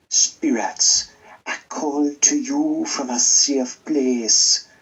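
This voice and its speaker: Someone speaks at a very slow pace in a put-on character voice. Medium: read story. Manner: soothing, solemn.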